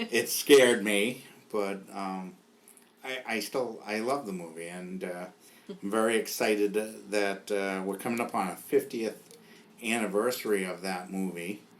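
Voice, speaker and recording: Here a man speaks with a Boston accent in a fairly low pitch. His pace is fairly slow and his intonation fairly even. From New England (Boston area). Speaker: podcast host. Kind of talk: casual chat.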